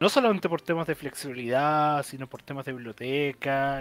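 Faint background music behind a man speaking at a moderate pace. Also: fairly bright tone.

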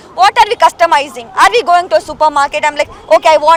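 Against crowd noise in the background, a woman speaks in an extremely high pitch with lively intonation, the sound dry and close with no echo. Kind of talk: protest speech. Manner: indignant, fiery.

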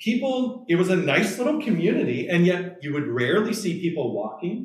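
Audible echo fills the room around this voice. Its pitch swings very widely at a fairly quick pace. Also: man. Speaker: pastor giving a lecture. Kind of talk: lecture. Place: meeting room. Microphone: camera far.

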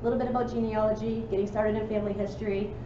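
A woman speaks at a very fast pace with noticeable background noise behind her. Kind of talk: meeting announcements. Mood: friendly, informal. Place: hall. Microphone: camera far.

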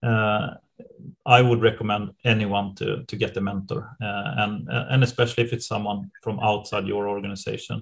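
A man with a Swedish accent speaks at a fairly low pitch with vocal fry. His pace is moderate, his intonation fairly even, with hardly any pauses. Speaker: private equity partner. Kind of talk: interview. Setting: video call. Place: office. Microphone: webcam.

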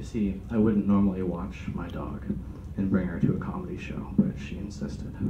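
Someone with an American accent talks at a moderate pace over loud background noise. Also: man. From Sacramento, California. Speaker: stand-up comedian. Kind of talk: stand-up comedy, dark one-liners with a live audience. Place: meeting room. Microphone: camera far.

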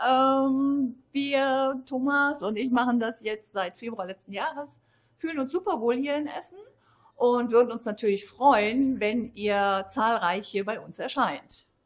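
A woman speaks at a fairly slow pace. Her pitch is fairly high, with ordinary pitch variation.

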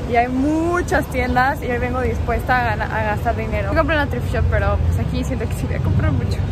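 A woman talks at a very fast pace, her voice dry with no echo over loud background noise. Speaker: vlogger. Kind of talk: casual vlog chat. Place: market. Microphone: phone near.

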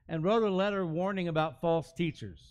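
Against a quiet background, a man talks at a moderate pace with a high pitch and ordinary pitch variation. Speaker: pastor. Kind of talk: sermon. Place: church.

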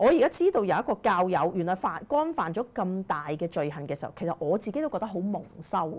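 Lively in intonation, a woman talks at a fairly quick pace. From Hong Kong. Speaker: political commentator; political commentary host. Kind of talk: political commentary monologue; commentary. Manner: frequent fillers and hesitations. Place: studio. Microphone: lapel.

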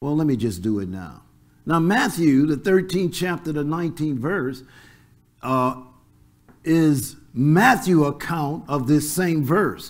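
The background is quiet as a man speaks at a fairly high pitch. His pace is very slow. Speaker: pastor. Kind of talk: church sermon preaching. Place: church. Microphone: lapel.

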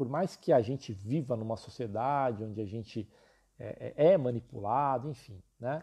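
A male voice, dark and mellow in tone, its pitch varying in an ordinary way. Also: quiet background. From São Paulo city, Brazil. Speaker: illustration teacher. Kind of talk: live stream class and sales talk. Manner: talkative, informal.

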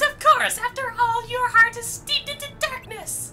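Over music in the background, a strained, put-on character voice at an extremely high pitch moves at a moderate pace.

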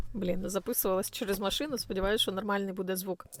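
Against a silent background, a woman is heard on a very clean recording. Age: 40s. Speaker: blogger. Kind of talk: vlog monologue. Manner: fast.

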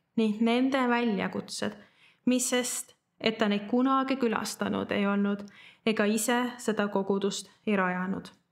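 Over a quiet background, a woman speaks at a fairly high pitch with fairly even intonation. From Estonia, Tallinn; Estonia. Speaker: church member giving a Bible teaching. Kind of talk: sermon. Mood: calm, earnest. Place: studio.

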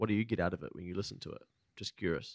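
A man with a New Zealand accent at a fairly quick pace, dry sound with no echo, quiet background. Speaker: podcast host. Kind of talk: casual interview. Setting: studio. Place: studio. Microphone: studio mic.

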